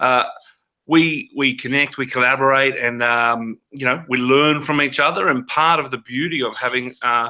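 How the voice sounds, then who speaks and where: A man speaks with an Australian accent and a bright, sharp tone. His intonation stays fairly even. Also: medium pitch for a man, moderate pace. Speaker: teacher, online teacher network founder. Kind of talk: casual video chat. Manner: hesitant, many fillers and repeats.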